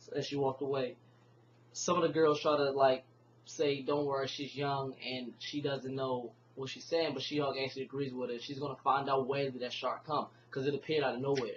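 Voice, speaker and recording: At a fairly quick pace, a man with a fairly high, somewhat breathy voice speaks in a monotone, flat way. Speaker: comic book reviewer. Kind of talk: casual video review. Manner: halting, many fillers and restarts.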